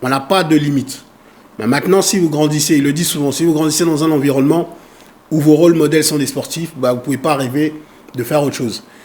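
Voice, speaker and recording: A man's plain, everyday voice, fairly high in pitch, with fairly even intonation at a fairly quick pace. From Congo, raised in France. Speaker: foundation president and activist. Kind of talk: interview.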